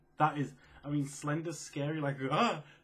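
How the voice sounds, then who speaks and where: Somewhat breathy, a man talks at a moderate pace in a fairly high pitch. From England. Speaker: gaming video creator. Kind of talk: casual Q&A vlog. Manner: soft-spoken; quiet.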